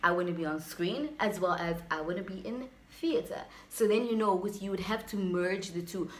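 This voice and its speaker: A woman speaks at medium pitch with ordinary pitch variation. Noticeable background noise and audible room echo are present. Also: moderate pace. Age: 20s. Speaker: YouTuber and aspiring actress. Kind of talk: casual vlog advice talk.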